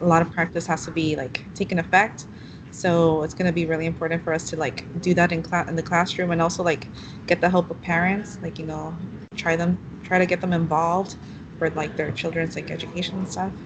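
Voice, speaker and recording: Against noticeable background noise, a woman with fairly low pitch talks at a fairly quick pace in a monotone, flat intonation. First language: Spanish. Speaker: student teacher. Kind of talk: casual discussion between classmates. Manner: hesitant, many fillers.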